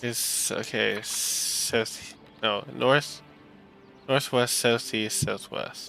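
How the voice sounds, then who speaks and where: The man talks very slowly. Music plays behind him. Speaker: gaming let's play commentator. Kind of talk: casual gameplay commentary. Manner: halting.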